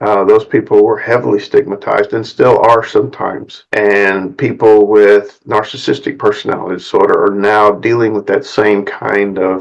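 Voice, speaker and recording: A man with an American accent talks at a moderate pace, hardly pausing at all. Noticeable background noise sits behind him. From US South. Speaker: psychotherapist. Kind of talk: talking-head video monologue.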